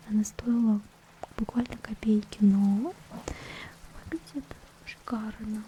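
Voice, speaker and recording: Noticeable background noise accompanies a woman whose voice is pitched fairly high. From Russia. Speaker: ASMR creator and vtuber. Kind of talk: casual ASMR talk to camera. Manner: quiet, whispered, soft-spoken.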